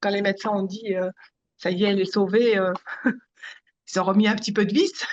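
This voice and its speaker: At a fairly quick pace yet with long, frequent pauses, a woman speaks in a monotone, flat intonation. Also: medium pitch for a woman, big swings in loudness. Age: 60s. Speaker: consumer giving testimonial. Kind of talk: interview testimony. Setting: video call. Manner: hesitant, many fillers.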